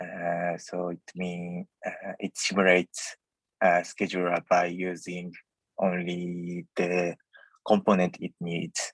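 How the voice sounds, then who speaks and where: Very slowly and in a flat monotone, a man with a non-native accent speaks with a very deep voice, the sound dry and close with no echo. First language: not English. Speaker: software engineer. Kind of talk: technical presentation. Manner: halting, many fillers.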